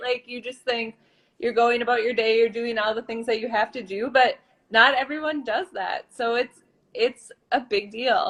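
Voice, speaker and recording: A woman speaks at a high pitch and a moderate pace. Her intonation is fairly even. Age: 40s. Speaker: mom sharing weight loss journey. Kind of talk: live video chat interview. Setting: live video call.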